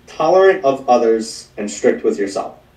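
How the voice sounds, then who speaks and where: A man speaks in an ordinary speaking voice at medium pitch. His pace is fairly quick, with ordinary pitch variation. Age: 30s. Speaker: life coach. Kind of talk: casual chat.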